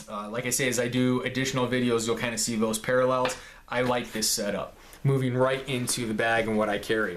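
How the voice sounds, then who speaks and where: In a room with audible echo, a man of medium pitch speaks fairly quickly in a monotone, flat delivery. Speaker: gear reviewer, police officer. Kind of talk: show-and-tell gear video.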